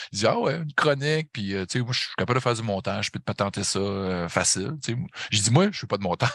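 In a Saguenay accent, a man speaks at a very fast pace and a medium pitch with lively intonation. The sound is dry and close, with no echo. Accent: Saguenay Quebec. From Quebec, Saguenay. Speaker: metal podcaster and concert photographer. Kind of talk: casual chat.

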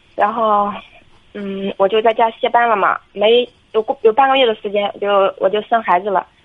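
A woman with a normal speaking voice, fairly high pitch, fairly even intonation and a moderate pace. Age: 20s. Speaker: caller seeking marriage advice. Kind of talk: phone-in advice call.

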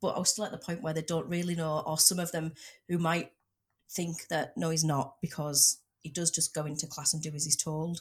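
A somewhat breathy woman's voice, very deep and low in pitch, with ordinary pitch variation. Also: fairly quick pace. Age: 30s. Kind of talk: casual chat.

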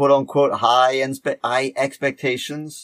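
Pitched fairly high, a man in a normal speaking voice talks at a fairly slow pace. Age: 50s. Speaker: podcast host, teacher. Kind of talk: casual chat.

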